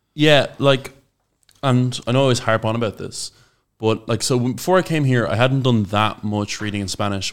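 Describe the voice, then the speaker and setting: A man with an Irish accent talks at a fairly quick pace and medium pitch, with ordinary pitch variation. The recording is very clean with a silent background. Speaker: podcast co-host, language learner. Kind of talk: casual chat.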